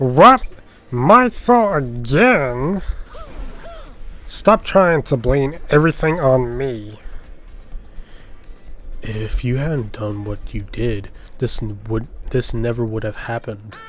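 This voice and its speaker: Faint music plays behind a man doing a put-on character voice. It is raspy, medium in pitch, and very slow. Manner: indignant, defensive.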